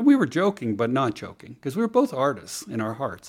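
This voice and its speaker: With an American accent, a man has a plain, everyday voice at medium pitch. He talks fairly quickly with lively intonation. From California, near San Francisco. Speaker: writer and former art gallery owner. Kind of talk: casual interview chat.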